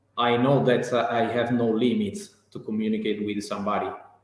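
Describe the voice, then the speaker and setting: A man speaks with an Italian accent at a medium pitch. His intonation is fairly even, and audible room echo surrounds him. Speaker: real estate professional, English learner. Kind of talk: interview. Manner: halting, many fillers and repetitions.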